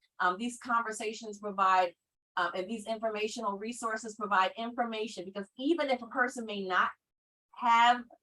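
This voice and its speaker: The woman's voice is fairly high in pitch, with a bright, sharp tone. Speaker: mental health educator. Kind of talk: online training presentation. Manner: fast.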